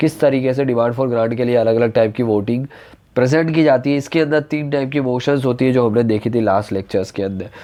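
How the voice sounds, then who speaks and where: A man's dark, mellow voice moves at a moderate pace, its pitch varying in an ordinary way. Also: medium pitch for a man. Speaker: online polity teacher. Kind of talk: lecture.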